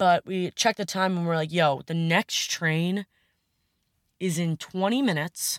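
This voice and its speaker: In a very clean recording with a silent background and a dry, close sound with no echo, a woman with an American accent speaks fairly slowly at a fairly low pitch with ordinary pitch variation. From US Northeast, Long Island, New York. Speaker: podcast host, college lacrosse goalie and lifeguard. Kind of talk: casual solo podcast monologue.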